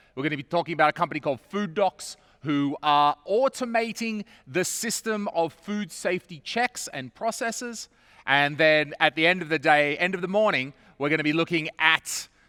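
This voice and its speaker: With an Australian accent, a man talks at a moderate pace in a bright, sharp tone with lively intonation, the sound dry and close with no echo. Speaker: event host, comedian. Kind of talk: live event hosting.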